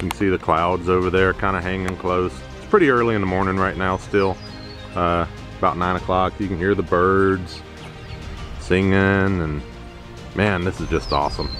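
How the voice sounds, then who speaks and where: A man with a very deep, low pitch talks at a moderate pace, using fairly even intonation and long, frequent pauses. The sound is dry with no echo, and clear music plays in the background. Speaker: vlogger. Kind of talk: casual vlog chat. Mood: relaxed, admiring the view. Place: open country. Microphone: phone near.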